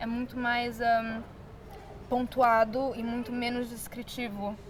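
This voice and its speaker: A high-pitched woman with an English accent speaks very slowly in a flat, monotone way, with long, frequent pauses. Noticeable background noise is present. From Brazil. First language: English (speaking Portuguese). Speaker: artist. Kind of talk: interview.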